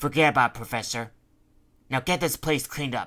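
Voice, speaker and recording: Using a put-on character voice, a man speaks at a fairly quick pace and medium pitch with fairly even intonation. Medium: read story. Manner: harsh, scolding.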